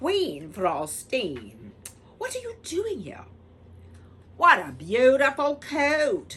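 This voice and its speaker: A high, put-on character voice moves at a very slow pace with long, frequent pauses. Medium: read story. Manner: brisk, impatient.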